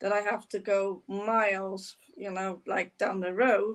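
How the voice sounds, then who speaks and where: Her intonation monotone and flat, a woman speaks at a fairly slow pace. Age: 60s. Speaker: podcast host. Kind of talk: interview.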